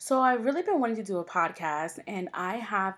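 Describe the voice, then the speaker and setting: A woman talks with a New York accent on a very clean recording with a silent background. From New York, Long Island. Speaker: podcast host. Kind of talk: solo podcast intro monologue. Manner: casual, with fillers.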